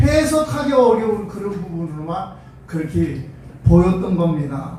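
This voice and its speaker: Noticeable background noise accompanies speech at a very slow pace. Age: 60s. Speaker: pastor. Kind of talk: sermon. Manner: halting, many fillers.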